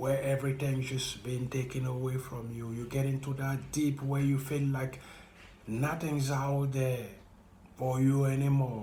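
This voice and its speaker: A man speaks at a fairly slow pace in a monotone with flat intonation. His pitch is medium for a man, and there is audible room echo. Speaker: vlogger sharing personal experience. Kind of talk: motivational monologue.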